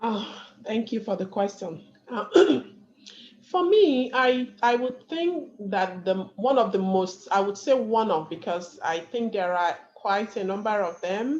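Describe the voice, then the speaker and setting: Lively intonation at a fairly slow pace, in a strong non-native accent. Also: woman, medium pitch for a woman. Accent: thick foreign. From Nigeria. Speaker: panelist, community leader. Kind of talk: panel discussion.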